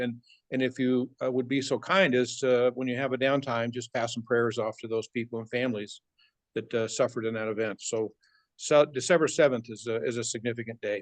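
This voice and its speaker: Recorded with a dry, close sound and no echo, the speaker talks at a very fast pace with fairly even intonation. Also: man. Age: 70s. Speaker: motivational speaker at a network marketing meeting. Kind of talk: motivational talk to a meeting audience. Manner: halting, many fillers.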